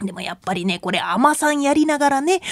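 A woman speaks with a high pitch at a fairly quick pace. Her voice makes very wide pitch swings. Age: 30s. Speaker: rakugo storyteller and Buddhist nun. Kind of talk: radio lecture talk.

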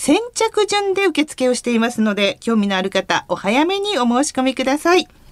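Dry and close with no echo, a woman's high voice swings very widely in pitch at a moderate pace. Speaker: radio host. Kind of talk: radio show hosting and announcements. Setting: radio studio. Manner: polite, formal broadcast tone.

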